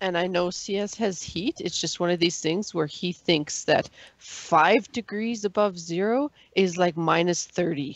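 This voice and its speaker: At a fairly slow pace, a woman with an unremarkable speaking voice and a fairly low pitch shows ordinary pitch variation, recorded in a dry sound with no echo against a quiet background. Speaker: podcast panelist; podcast co-host. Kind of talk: casual chat. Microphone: video call.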